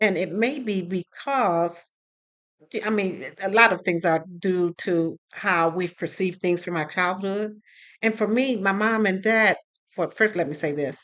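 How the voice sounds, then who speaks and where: With an American accent, a woman talks at a fairly slow pace in a bright, sharp tone, with medium pitch, ordinary pitch variation and a quiet background. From US Midwest, Detroit. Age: 60s. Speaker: vlogger. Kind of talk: personal storytelling vlog. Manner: casual, conversational with fillers.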